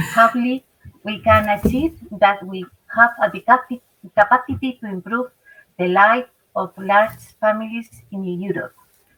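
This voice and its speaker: With a Spanish accent, a woman speaks at a moderate pace and a fairly high pitch, using ordinary pitch variation, big swings in loudness and long, frequent pauses, in a dry, close sound with no echo. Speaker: family association representative. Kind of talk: prepared statement. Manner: halting.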